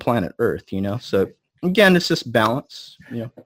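A man with a Californian accent speaks at a moderate pace. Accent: Californian American English. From US West Coast, Los Angeles. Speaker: energy healing expert. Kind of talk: interview.

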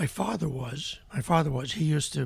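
A man speaks at a moderate pace with vocal fry. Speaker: podcast guest, father of the host. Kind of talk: casual interview chat.

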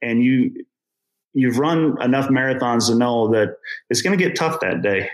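A plain, everyday voice at a moderate pace with lively intonation. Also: man. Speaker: amateur runner. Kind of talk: interview conversation.

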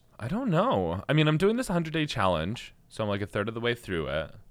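A loud man talks at a fairly quick pace, his pitch swinging very widely. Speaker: podcast co-host, restaurant worker. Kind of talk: casual chat. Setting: studio.

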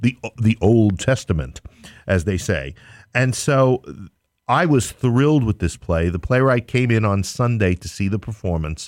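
Fairly low in pitch, a man with a New York accent speaks at a fairly slow pace with lively intonation. The sound is dry and close with no echo, on a very clean recording with a silent background. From New York City, Queens. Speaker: theater company owner. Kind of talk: casual chat. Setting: studio.

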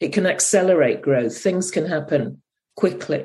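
A woman speaks with a British accent. Her pitch varies in an ordinary way. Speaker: astrologer podcast host. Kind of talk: casual chat.

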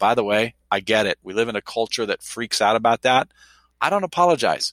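On a very clean recording with a silent background, a man speaks at a medium pitch with lively intonation. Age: 50s. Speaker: university president. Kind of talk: casual chat. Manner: animated.

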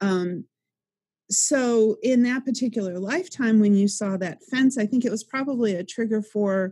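Her voice is a woman's, at medium pitch and moderate pace, dark, mellow and somewhat breathy, with ordinary pitch variation. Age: 50s. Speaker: life coach and author. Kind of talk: interview.

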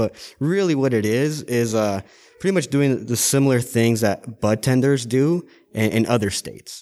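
A man talks at a fairly quick clip in a normal speaking voice. The recording is very clean, with a silent background. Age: 20s. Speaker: cannabis pharmacy agent. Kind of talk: casual interview. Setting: on location at a dispensary.

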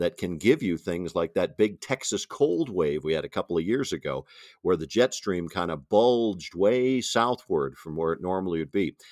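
Dry and close with no echo, an ordinary speaking voice with an American accent moves at a moderate pace with lively intonation. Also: man. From Wisconsin, US Midwest. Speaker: TV meteorologist. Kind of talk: interview.

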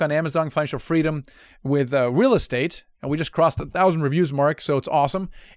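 A man with a German accent talks at a very fast pace in a fairly high voice with ordinary pitch variation. The recording is very clean, the background silent. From Germany. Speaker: podcast host, real estate investor. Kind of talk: casual podcast interview; promotional pitch.

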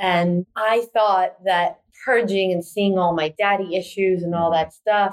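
A woman at medium pitch, a plain, everyday voice, fairly slow pace. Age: 40s. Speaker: transformational coach and retreat facilitator. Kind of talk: casual interview conversation.

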